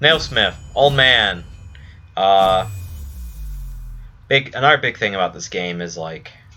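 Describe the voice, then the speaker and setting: Music plays behind a man whose fairly low voice has lively intonation. He speaks at a fairly slow pace with long, frequent pauses. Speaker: video game streamer. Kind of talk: gameplay commentary. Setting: live stream.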